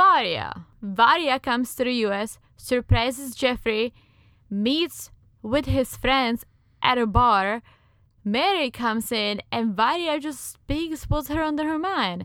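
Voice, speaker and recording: In a Czech accent, a woman talks at a very slow pace with a high pitch and a bright, sharp tone on a very clean recording with a silent background. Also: lively intonation. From Czech Republic. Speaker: podcast co-host. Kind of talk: casual chat.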